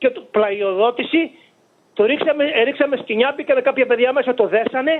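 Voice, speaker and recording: Ordinary pitch variation at a moderate pace. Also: man. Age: 70s. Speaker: fisherman. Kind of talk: interview testimony. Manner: halting.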